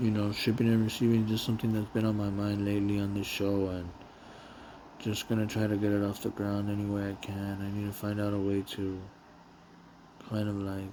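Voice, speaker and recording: In an American accent, a man speaks fairly quickly and in a monotone at a fairly low pitch, with long, frequent pauses. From Los Angeles, US West Coast. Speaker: warehouse worker and vlogger. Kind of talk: casual monologue vlog. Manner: unscripted, rambling with repetitions.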